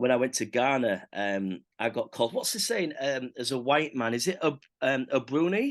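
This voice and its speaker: In a Hull accent, the speaker talks with lively intonation and hardly any pauses. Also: man, medium pitch for a man, moderate pace. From Hull, northern England. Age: 30s. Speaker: church interviewer. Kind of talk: interview. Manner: hesitant, repeats words.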